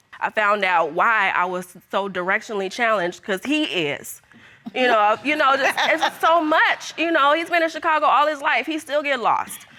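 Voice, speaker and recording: A woman uses a raised, projected voice at a high pitch. Her pitch swings very widely at a moderate pace. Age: 30s. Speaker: daughter in paternity case. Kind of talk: courtroom testimony. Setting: TV courtroom. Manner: halting.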